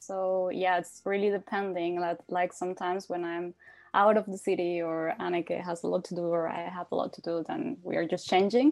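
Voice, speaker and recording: With a Spanish accent, a woman of fairly low pitch speaks at a moderate pace with fairly even intonation. The background is quiet. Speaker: language exchange student. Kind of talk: casual interview.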